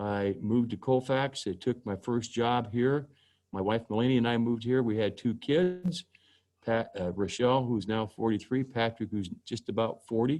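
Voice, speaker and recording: Against a quiet background, a man with an Inland Northwest accent speaks at a medium pitch and moderate pace, with ordinary pitch variation. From Spokane, Washington. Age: 60s. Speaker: judge. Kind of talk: presentation. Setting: video call.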